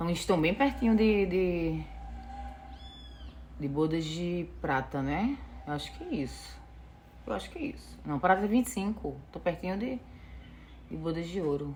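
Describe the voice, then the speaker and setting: A woman speaks with a strong northeastern Brazilian accent. Her pace is moderate. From Northeast Brazil, Natal, Rio Grande do Norte. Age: 40s. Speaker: vlogger. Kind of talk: casual vlog storytelling. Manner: many filler sounds, unedited.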